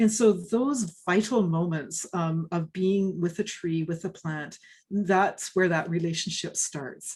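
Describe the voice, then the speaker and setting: The voice is somewhat breathy, with a Canadian accent. The pace is very slow. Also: woman, fairly low pitch for a woman, ordinary pitch variation. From western Canada, British Columbia. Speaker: forest ecology professor and author. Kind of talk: interview Q&A. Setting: video call. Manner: casual, many hesitations and repeats.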